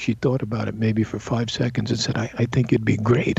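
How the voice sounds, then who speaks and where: Somewhat breathy and dark, mellow in tone, a voice with an American accent moves at a fairly quick pace. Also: man. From US Northeast, Brooklyn. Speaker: actor. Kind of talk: interview.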